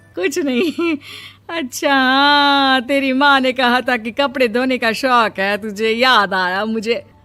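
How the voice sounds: Over faint music in the background, a woman uses a put-on character voice, high-pitched with a bright, sharp tone and ordinary pitch variation, speaking at a slow pace.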